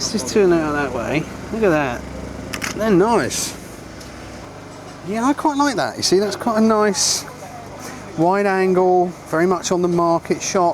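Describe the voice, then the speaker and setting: A man with a high pitch speaks at a fairly slow pace, with long, frequent pauses, amid audible room echo and noticeable background noise. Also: lively intonation. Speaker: photography teacher. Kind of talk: tutorial. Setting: outdoors. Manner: animated.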